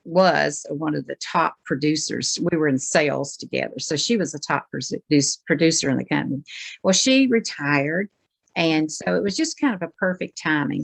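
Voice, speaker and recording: With vocal fry and a very deep, low pitch, a woman speaks at a moderate pace over a quiet background, the sound dry and close with no echo. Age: 70s. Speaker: beauty product sales consultant. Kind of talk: panel discussion.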